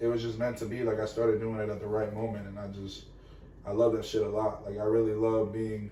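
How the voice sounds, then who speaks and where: Background noise is noticeable and room echo is audible. A man with a medium pitch speaks at a fairly quick pace. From Venezuela, raised in Florida. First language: Spanish. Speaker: musician, rapper. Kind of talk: casual chat.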